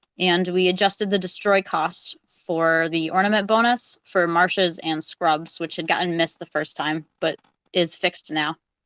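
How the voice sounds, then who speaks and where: A woman speaks at a moderate pace with a fairly low pitch. The sound is dry and close with no echo, over a quiet background. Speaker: community AMA emcee. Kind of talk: community update livestream. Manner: loud.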